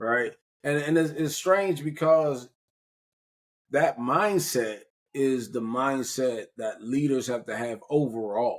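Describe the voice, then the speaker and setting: At a very slow pace with long, frequent pauses, a man speaks with an East Coast US accent. His pitch is fairly high, with ordinary variation. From US Mid-Atlantic, Prince George's County, Maryland. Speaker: podcast host. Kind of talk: casual conversational interview. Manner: animated.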